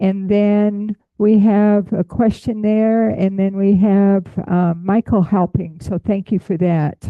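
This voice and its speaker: Very slowly, a woman speaks at a medium pitch with monotone, flat intonation and very even loudness. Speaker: butterfly enthusiast, hearing access advocate. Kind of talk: lecture. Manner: projecting voice loudly.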